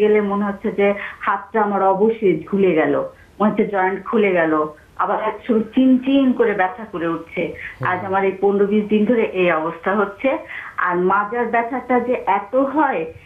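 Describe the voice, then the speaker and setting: A woman talks at a fairly high pitch. Noticeable background noise runs behind her. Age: 40s. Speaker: caller with back pain. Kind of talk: phone-in question to a doctor.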